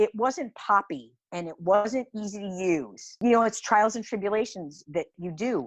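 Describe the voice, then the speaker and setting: A woman with an American accent and a plain, everyday voice, medium in pitch, at a fairly slow pace with lively intonation and big swings in loudness, on a very clean recording with a silent background. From Ohio, Cleveland. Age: 60s. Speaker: small business owner. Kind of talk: interview.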